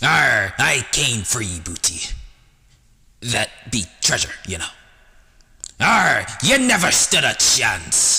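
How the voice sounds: A man puts on a raspy character voice at medium pitch. He speaks very slowly, with long, frequent pauses.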